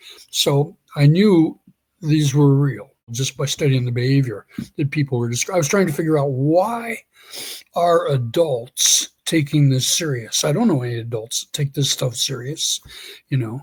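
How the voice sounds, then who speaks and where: His intonation lively, a man speaks in a somewhat breathy voice. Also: fairly high pitch for a man, moderate pace. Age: 60s. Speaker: Sasquatch researcher. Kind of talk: interview storytelling. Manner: halting, frequent self-repetition.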